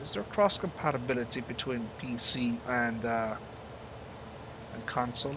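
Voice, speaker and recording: Amid noticeable background noise and audible room echo, a man with an Irish accent speaks at a fairly slow pace and medium pitch. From Ireland. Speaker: gaming live streamer. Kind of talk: live gameplay commentary. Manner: halting, many fillers.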